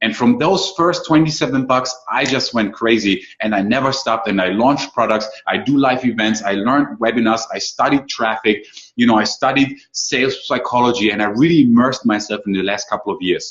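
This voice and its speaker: With a German accent, a man at a medium pitch speaks at a fairly quick pace with hardly any pauses and ordinary pitch variation. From Germany. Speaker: online marketing coach. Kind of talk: webinar presentation. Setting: live online call. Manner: fast.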